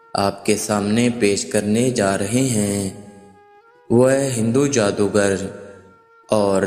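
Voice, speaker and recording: A man speaks at a fairly low pitch with fairly even intonation. Music is playing in the background. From Pakistan. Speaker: voice over artist. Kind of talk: religious story narration.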